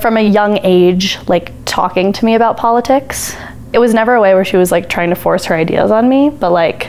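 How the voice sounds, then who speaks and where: Over noticeable background noise, a woman with an American accent talks at a fairly quick pace and medium pitch, with ordinary pitch variation and very even loudness. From Colorado (Parker). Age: under 20 (19). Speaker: college student, campaign volunteer. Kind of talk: interview. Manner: casual, frequent fillers.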